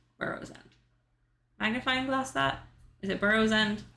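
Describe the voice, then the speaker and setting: A woman's bright, sharp voice at a medium pitch, with audible room echo. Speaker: video game streamer. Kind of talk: casual chat.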